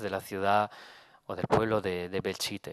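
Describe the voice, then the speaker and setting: A man talks in a fairly low voice with monotone, flat intonation, the sound dry with no echo. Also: quiet background. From Italy. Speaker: photographer. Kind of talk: lecture. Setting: stage with audience. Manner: halting. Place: hall. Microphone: podium.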